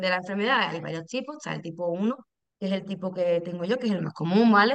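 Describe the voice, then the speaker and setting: Medium in pitch, a woman talks at a fairly quick pace. Her intonation is lively. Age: 30s. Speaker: patient, lab technician. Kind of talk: interview, personal testimony.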